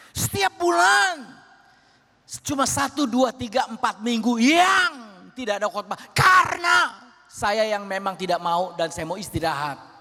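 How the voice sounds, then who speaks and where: With noticeable background noise around him, a man projects a raised voice at a high pitch, swinging very widely in pitch at a fairly slow pace. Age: 70s. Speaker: pastor. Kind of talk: sermon.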